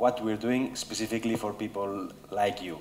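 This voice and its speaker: A man with fairly even intonation, audible room echo and noticeable background noise. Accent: Spanish. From Spain, Barcelona. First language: Spanish. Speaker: business executive. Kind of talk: conference talk. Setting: stage with audience. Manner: hesitant with fillers.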